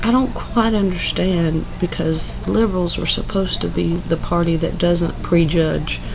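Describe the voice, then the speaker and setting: With a Southern US accent, a woman talks at a fairly slow pace with hardly any pauses over noticeable background noise. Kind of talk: casual talk to camera.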